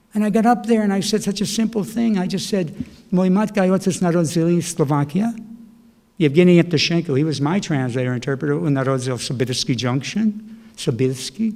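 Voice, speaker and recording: A man talks at a fairly quick pace and high pitch. His tone is dark and mellow, with lively intonation. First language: Slovak. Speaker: poet. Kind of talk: casual chat. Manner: animated.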